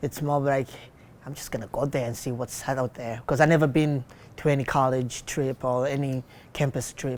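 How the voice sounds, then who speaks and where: Someone speaks at a moderate pace with a non-native accent. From outside the US, arrived 2010. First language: not English. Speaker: college student. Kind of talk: interview testimony.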